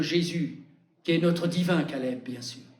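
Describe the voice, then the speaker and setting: A man with a fairly high pitch speaks at a moderate pace. Room echo is audible. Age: 80s+. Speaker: preacher. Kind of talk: sermon. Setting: church.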